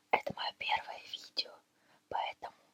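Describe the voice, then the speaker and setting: The voice is whispering in a gentle tone. The pace is fairly slow. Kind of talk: ASMR video. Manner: whispered, gentle.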